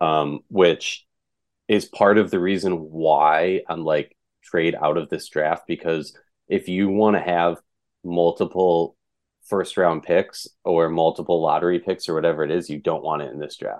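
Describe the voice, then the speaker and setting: With an American accent and a very deep, low pitch, a man speaks at a fairly slow pace. His intonation is fairly even, and the background is quiet. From Minnesota. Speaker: sports media founder and podcast host. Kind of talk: casual sports podcast interview.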